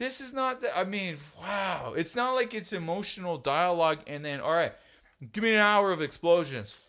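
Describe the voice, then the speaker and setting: The voice is raised and projected, with a bright, sharp tone. It moves at a moderate pace with lively intonation. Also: man, high pitch for a man. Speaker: podcast host and rock drummer. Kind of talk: heated casual debate.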